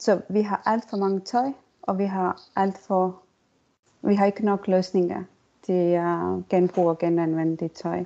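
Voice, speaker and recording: A woman with an Estonian accent, medium-pitched, at a very slow pace with long, frequent pauses and fairly even intonation. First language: Estonian (speaking Danish). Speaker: circular economy consultant and lecturer. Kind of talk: interview. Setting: online recording.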